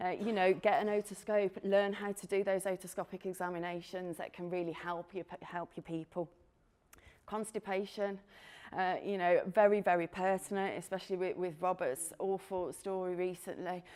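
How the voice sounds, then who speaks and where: A woman speaks at a medium pitch and a moderate pace. Her intonation stays flat and monotone. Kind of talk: conference talk.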